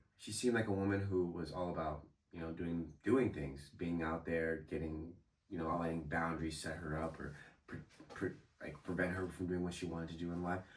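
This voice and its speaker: With a very deep, low pitch, a man talks at a fairly quick pace, his ordinary pitch variation heard through audible room echo. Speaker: motivational YouTuber. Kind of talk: motivational talk to camera. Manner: casual, conversational.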